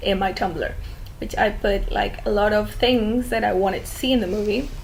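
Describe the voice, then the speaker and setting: Audible room echo surrounds a woman speaking with a Spanish accent. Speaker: fan video commentator. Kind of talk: casual monologue.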